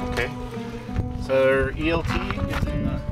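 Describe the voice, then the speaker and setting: A man's voice over loud music in the background. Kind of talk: safety briefing. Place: open country. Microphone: phone near.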